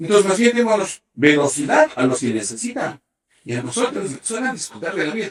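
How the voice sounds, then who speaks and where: At a fairly quick pace, a man speaks with a high pitch and very wide pitch swings. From Ecuador. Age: 60s. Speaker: sports medicine doctor. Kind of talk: interview. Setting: sports medicine center at a velodrome. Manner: animated.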